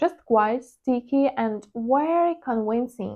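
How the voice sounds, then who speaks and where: A woman with a Ukrainian accent speaks in a high voice. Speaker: trading vlogger. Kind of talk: personal vlog monologue. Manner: hesitant, with fillers.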